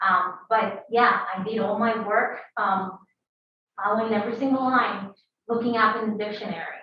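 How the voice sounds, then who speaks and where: With a Spanish accent, a woman speaks at a fairly high pitch with fairly even intonation. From Peru. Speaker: biotech founder and scientist. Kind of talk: talk to a university audience. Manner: hesitant, many fillers.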